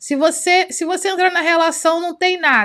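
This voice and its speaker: A woman talks at a moderate pace in an animated, bright, sharp tone with ordinary pitch variation. Her voice is raised and projected on a very clean recording with a silent background. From Brazil. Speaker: youtuber. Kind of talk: reaction commentary. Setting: home recording with two cameras.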